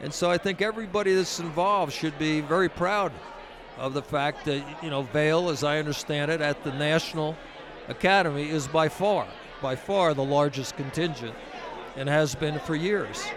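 Through noticeable background noise, a man with a fairly high pitch and ordinary pitch variation speaks at a moderate pace. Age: 70s. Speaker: ski academy benefactor. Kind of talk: interview. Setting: mobile studio at a ski resort. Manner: halting.

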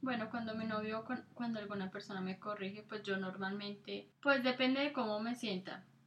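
A woman with fairly even intonation and a fairly high pitch speaks at a moderate pace against noticeable background noise. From Colombia. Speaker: podcast co-host. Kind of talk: casual chat.

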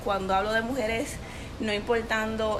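A woman is speaking. Noticeable background noise and audible room echo surround her voice. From Puerto Rico, Corozal. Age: 20s. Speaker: women's ministry leader. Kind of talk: interview.

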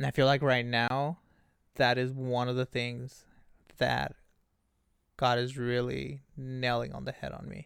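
Speaking in a Spanish accent, a man talks at a fairly slow pace with long, frequent pauses, a medium pitch, and monotone, flat intonation. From Mexico, Ensenada, Baja California. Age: 20s. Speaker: youth behavioral worker. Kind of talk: casual interview.

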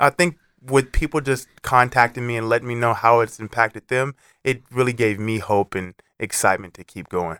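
In a very clean recording with a silent background, a man with an American accent speaks at a medium pitch and fairly quick pace, his bright, sharp tone dry and close with no echo and big swings in loudness. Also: ordinary pitch variation. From California Central Valley (Los Banos). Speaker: former college football player and fitness challenge founder. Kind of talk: motivational interview.

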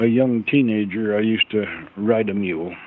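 Through noticeable background noise comes a man with an American accent, a fairly low pitch and monotone, flat intonation. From central Utah. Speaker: farrier. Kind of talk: interview.

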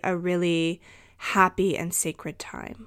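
The recording is very clean, and the background is silent. A woman talks very slowly. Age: 30s. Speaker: podcast host and intuitive energy healer. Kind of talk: casual solo podcast monologue. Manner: hesitant with frequent fillers.

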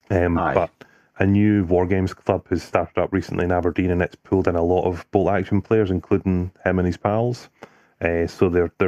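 The voice has a dark, mellow tone and a flat, monotone delivery at a fairly quick pace, its loudness very even. The sound is dry and close with no echo, over a quiet background. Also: man. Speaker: podcast host. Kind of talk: casual banter.

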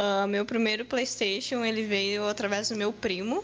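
Fairly slow pace from a woman, noticeable background noise behind her. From southern Brazil. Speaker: gamer. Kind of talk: casual chat.

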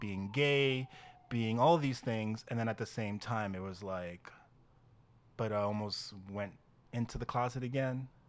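A man with a New York accent at a medium pitch, an animated tone, ordinary pitch variation and a moderate pace, on a very clean recording with a silent background. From Dominican Republic, raised in New York from age seven. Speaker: cheer team co-founder. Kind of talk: casual chat. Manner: animated, laughs often.

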